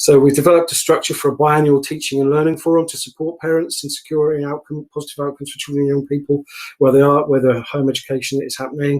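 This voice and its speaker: A man with a fairly high pitch speaks at a very fast pace with hardly any pauses. His intonation is monotone and flat, while his loudness swings widely. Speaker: council officer. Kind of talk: committee presentation.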